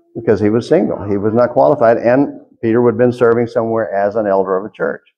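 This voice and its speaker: The speech moves at a very fast pace with ordinary pitch variation. Light background noise can be heard. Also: man, medium pitch for a man. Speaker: church preacher. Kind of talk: sermon delivered to a congregation. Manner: conversational, preacher style. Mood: earnest, critical. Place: church. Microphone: podium.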